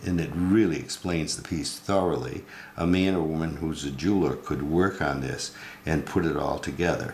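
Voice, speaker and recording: A man's very deep, low voice at a moderate pace, with ordinary pitch variation and audible room echo. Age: 80s+. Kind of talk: tutorial. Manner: hesitant, many fillers.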